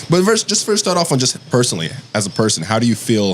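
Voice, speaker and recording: Very wide pitch swings from a man, with noticeable background noise behind him. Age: 20s. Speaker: podcast host. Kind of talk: casual chat.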